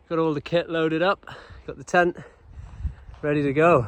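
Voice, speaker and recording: The sound is dry and close with no echo. A man with a Welsh accent speaks in a relaxed, upbeat tone. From Wales. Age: young. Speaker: outdoor vlogger. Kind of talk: casual talk to camera. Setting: outdoors.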